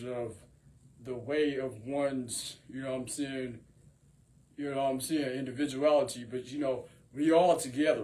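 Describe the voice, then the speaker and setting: A man speaks in a dark, mellow, somewhat breathy voice with fairly even intonation. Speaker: rapper and singer. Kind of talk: freestyle monologue to camera. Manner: rambling, filler-heavy delivery.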